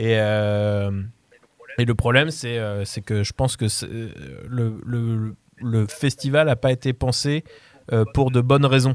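With long, frequent pauses and fairly even intonation, a man speaks at a very slow pace. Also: medium pitch for a man, dry, close sound with no echo. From France, Paris region (Mantes-la-Jolie). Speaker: music programmer. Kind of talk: casual radio debate.

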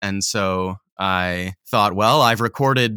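A man with a slight Canadian accent, bright and sharp in tone, fairly even in intonation, in a dry, close, very clean recording with no echo and a silent background. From Canadian Prairies (Manitoba). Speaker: audiobook narrator. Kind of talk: interview.

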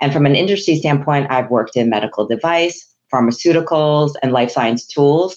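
Her pitch is very deep and low for a woman. The woman's pitch variation is ordinary. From Hong Kong. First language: Chinese. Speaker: chief human resources officer. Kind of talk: professional interview conversation.

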